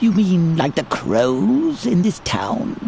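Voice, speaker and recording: A put-on character voice at a middle pitch swings very widely up and down at a very slow pace. Background noise is clearly audible. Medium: video game. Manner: sardonic.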